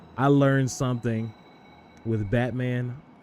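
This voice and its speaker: Music plays behind a man with a medium-pitched voice. His tone is animated. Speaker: gaming streamer. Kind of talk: live gameplay commentary. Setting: livestream. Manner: fast.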